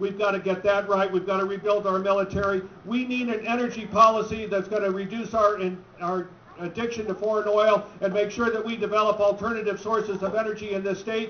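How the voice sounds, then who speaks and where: A high-pitched man with an American accent against noticeable background noise. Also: fairly quick pace. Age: 60s. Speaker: political candidate. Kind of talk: campaign speech. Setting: rally with audience. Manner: animated.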